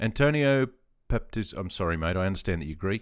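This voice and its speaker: A man with an Australian accent talks at a very fast pace in a fairly low voice. His intonation is lively, and the recording is very clean with a silent background. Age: 50s. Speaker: veteran gaming streamer. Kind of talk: casual live stream chat. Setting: live stream. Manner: relaxed, hesitant with many fillers.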